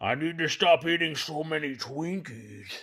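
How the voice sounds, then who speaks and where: Raspy put-on character voice from a man at a moderate pace. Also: fairly high pitch for a man. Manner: bad, mock-sinister.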